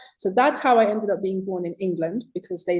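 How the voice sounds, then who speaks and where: A woman speaks at a fairly quick pace with a medium pitch. Her pitch varies in an ordinary way. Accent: British. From Zimbabwe. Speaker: author. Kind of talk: interview.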